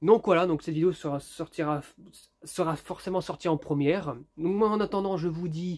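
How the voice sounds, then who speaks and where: A man speaks at a moderate pace in a high voice with fairly even intonation, on a very clean recording with a silent background. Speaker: YouTuber, lamp collector. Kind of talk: casual vlog review. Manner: hesitant, many fillers.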